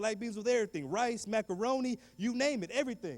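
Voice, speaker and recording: A man is speaking. His tone is animated. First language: Spanish. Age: 30s. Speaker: motivational speaker. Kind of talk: motivational talk.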